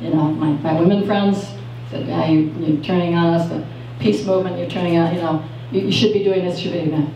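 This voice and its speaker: Amid noticeable background noise and audible room echo, a woman talks at a very fast pace with ordinary pitch variation. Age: 60s. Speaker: open mic storyteller. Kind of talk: personal storytelling at open mic. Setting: cafe open mic with audience. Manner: hesitant, many fillers.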